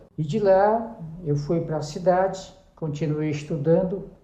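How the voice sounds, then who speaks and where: A dark, mellow tone at a fairly slow pace, with ordinary pitch variation and audible room echo. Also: man. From Brazil, Pará (interior, Juruti). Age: 70s. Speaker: pastor. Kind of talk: interview, life story testimony. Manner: halting, with self-corrections.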